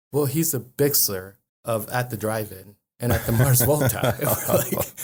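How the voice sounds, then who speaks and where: Moderate-paced, somewhat breathy speech from a man, medium in pitch, with ordinary pitch variation. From northern Mexico and El Paso, Texas. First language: Spanish. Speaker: lawyer. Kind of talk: casual interview. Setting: studio. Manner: hesitant, many fillers.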